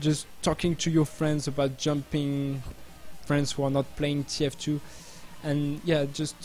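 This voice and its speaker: With music in the background, a man with a French accent speaks at a fairly slow pace in a fairly high pitch, his intonation monotone and flat. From France. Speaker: game community streamer. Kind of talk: live stream chat. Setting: live stream. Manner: halting.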